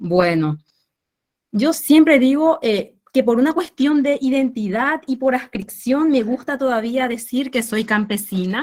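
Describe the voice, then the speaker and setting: A woman speaks at a fairly slow pace with a Paraguayan accent. Her pitch swings very widely. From rural Paraguay. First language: Guarani (speaking Spanish). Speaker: researcher on rural youth. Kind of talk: academic discussion.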